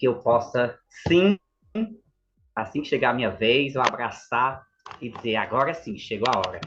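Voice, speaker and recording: The speaker moves at a moderate pace with ordinary pitch variation. Loudness swings widely, and long pauses come often. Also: man, medium pitch for a man. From Pernambuco, Brazil (Itaíba). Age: 30s. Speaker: journalism student. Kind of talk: podcast interview.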